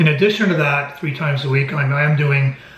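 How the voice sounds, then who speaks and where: A man speaks at a fairly quick pace with a fairly high pitch. Noticeable background noise runs underneath. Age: 60s. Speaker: amateur golfer vlogger. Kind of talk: casual video diary.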